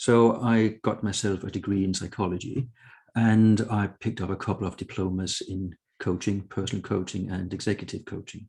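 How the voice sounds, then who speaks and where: A man with a Danish accent, a fairly low pitch and fairly even intonation. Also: moderate pace, quiet background. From Denmark. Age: 60s. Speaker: author and consultant. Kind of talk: interview conversation.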